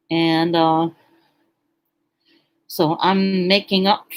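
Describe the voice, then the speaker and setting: Her fairly low-pitched speech moves at a very slow pace, with fairly even intonation and long, frequent pauses, marking a woman's voice. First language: German. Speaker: live streamer. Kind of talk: casual live stream chat. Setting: home kitchen. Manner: halting, many fillers.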